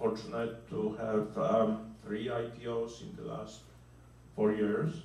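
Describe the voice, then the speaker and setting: Speaking at a very slow pace with a Polish accent and ordinary pitch variation, a man is heard over noticeable background noise and audible room echo. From Poland. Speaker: venture capitalist. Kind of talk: panel discussion. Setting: conference.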